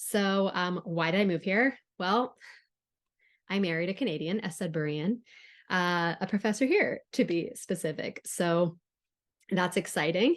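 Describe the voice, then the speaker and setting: Over a quiet background, the speech comes at a fairly slow pace with long, frequent pauses, ordinary pitch variation and a slight Southern California accent. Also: woman, medium pitch for a woman. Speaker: writing instructor. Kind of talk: recorded lecture. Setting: recorded on Zoom. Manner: casual, with frequent fillers.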